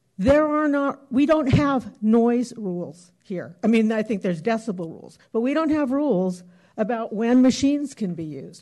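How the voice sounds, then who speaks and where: Against a quiet background, the speech moves at a moderate pace with hardly any pauses. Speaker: planning commissioner. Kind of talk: formal public meeting.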